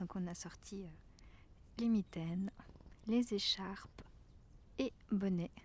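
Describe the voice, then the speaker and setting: A woman speaks at a very slow pace with long, frequent pauses, in a gentle, somewhat breathy voice of medium pitch with fairly even intonation. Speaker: ASMR creator. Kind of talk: casual talk to camera, ASMR chat. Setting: outdoors, forest walk. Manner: soft, gentle, whispery.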